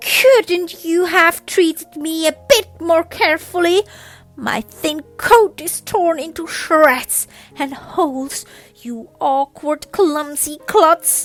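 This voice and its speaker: A woman's shrill, put-on character voice, extremely high in pitch, raised and projected, at a very slow pace. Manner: indignant, complaining.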